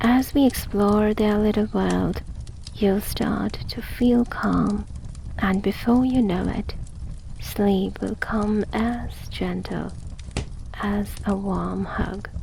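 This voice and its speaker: Noticeable background noise behind a woman's very slow speech. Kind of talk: sleep story. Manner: soft-spoken.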